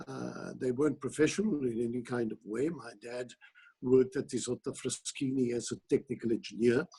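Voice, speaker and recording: A dark, mellow, somewhat breathy tone at a moderate pace. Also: man. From Italy, Milan. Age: 70s. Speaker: opera director and teacher. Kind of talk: interview.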